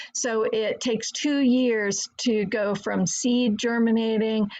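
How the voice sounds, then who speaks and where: A woman talks in a fairly high pitch with fairly even intonation. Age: 60s. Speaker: herbalist. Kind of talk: slideshow presentation. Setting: video call.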